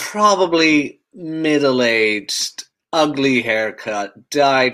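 This man talks at a very slow pace with ordinary pitch variation. His tone is bright and sharp. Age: 30s. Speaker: podcast co-host. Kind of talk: casual chat.

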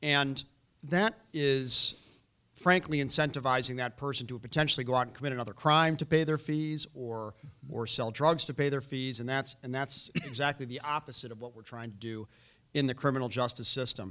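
Here is an unremarkable speaking voice: a man at a medium pitch with ordinary pitch variation and a moderate pace. His loudness swings a lot. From Chicago, north side. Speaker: former prosecutor, navy veteran, political candidate. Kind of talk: candidates forum debate. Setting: stage with audience.

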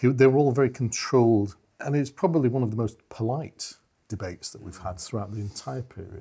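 A man talks at a fairly quick pace in a dark, mellow, somewhat breathy voice with ordinary pitch variation. His loudness swings widely, and the recording is very clean with a silent background. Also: medium pitch for a man. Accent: British. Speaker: communications and crisis management expert. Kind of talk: political discussion.

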